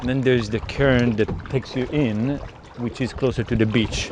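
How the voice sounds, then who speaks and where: A man with an Israeli accent talks at a moderate pace and medium pitch. His intonation is fairly even, with noticeable background noise. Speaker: software engineer and kayaker vlogger. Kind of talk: casual outdoor vlog narration. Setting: outdoors, kayaking on the ocean. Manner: hesitant, many fillers.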